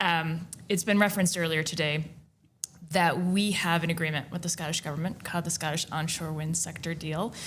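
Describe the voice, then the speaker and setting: Speaking fairly quickly in an American accent, a woman with a fairly low pitch keeps a monotone, flat intonation while audible room echo surrounds her voice. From United States. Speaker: onshore wind industry representative. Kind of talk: conference panel discussion.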